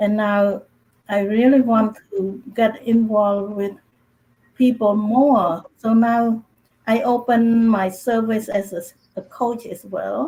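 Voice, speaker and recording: Somewhat breathy and dark, mellow in tone, a woman with a Cambodian accent and a fairly high pitch speaks at a very slow pace. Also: fairly even intonation. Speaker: author, speaker and coach. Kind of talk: panel discussion. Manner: halting, repeats words.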